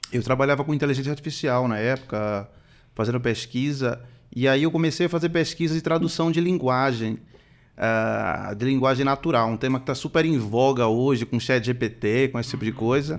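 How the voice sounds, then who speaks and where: At a moderate pace, a man with a northeastern Brazilian accent speaks at a medium pitch with ordinary pitch variation against a quiet background. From Recife, northeastern Brazil. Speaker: computer scientist entering health business. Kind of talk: casual podcast chat.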